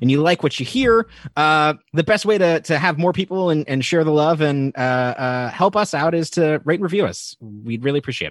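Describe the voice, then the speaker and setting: An unremarkable speaking voice from a man with an American accent and fairly high pitch, dry and close with no echo, against a quiet background. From Nevada. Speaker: podcast co-host. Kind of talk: casual chat.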